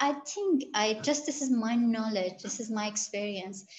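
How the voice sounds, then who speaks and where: With noticeable background noise behind her, a woman speaks at a fairly slow pace in a fairly high pitch with ordinary pitch variation. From Iran, Gilan region. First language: Gilaki and Farsi. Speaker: researcher. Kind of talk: interview. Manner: halting, many fillers and restarts.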